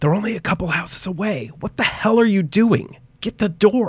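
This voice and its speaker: A put-on character voice, fairly high-pitched and hissing, panicked in tone at a moderate pace. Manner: panicked, urgent, hissed.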